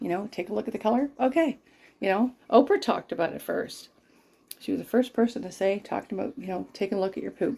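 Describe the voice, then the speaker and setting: Talking at a very fast pace, a woman uses a fairly high pitch, a dark, mellow tone and vocal fry. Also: ordinary pitch variation. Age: 60s. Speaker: lifestyle vlogger. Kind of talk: casual vlog chat. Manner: casual, rambling with fillers.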